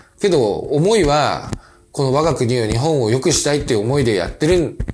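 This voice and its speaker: With music in the background and audible room echo, a man with a fairly high pitch speaks at a fairly quick pace using very wide pitch swings. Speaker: company president and podcast host. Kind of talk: casual monologue. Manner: many fillers and hesitations.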